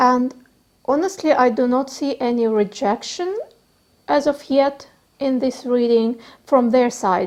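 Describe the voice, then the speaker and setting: Pausing long and often, a woman with a non-native accent speaks at a fairly slow pace and a high pitch. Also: ordinary pitch variation. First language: not English. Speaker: tarot reader. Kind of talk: tarot reading. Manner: halting.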